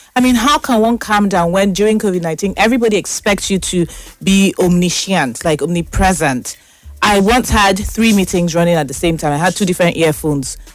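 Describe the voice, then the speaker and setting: Noticeable background noise sits under a fairly quick, animated delivery with lively intonation. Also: woman, medium pitch for a woman, very even loudness. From Nigeria. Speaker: talk show host. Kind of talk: casual monologue. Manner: fast.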